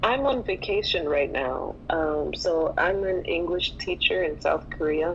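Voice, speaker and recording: Fairly low in pitch, this woman talks at a fairly slow pace with an American accent and lively intonation over noticeable background noise. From United States. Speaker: English teacher, podcast co-host. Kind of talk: casual chat. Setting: online audio room.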